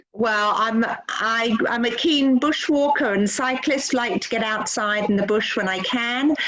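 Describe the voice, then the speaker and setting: A woman's fairly high voice at a fairly slow pace, with hardly any pauses, very even loudness and ordinary pitch variation, plus noticeable background noise and audible room echo. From London, England. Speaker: doctor. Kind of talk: interview on a video call. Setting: video call.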